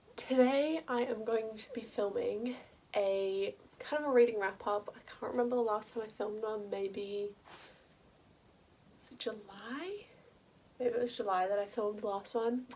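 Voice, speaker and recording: Long, frequent pauses break up a woman's fairly even intonation as she speaks in an Australian accent. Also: moderate pace. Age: 20s. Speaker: university student. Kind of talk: casual talk to camera.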